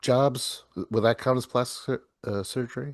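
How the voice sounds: Here a man speaks with a slightly mellow tone and ordinary pitch variation.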